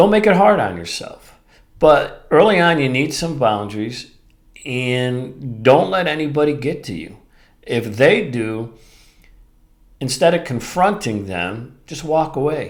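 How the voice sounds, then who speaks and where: A man's fairly high voice at a fairly slow pace, with very wide pitch swings, big swings in loudness and audible room echo. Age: 60s. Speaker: podcast host. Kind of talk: solo podcast talk.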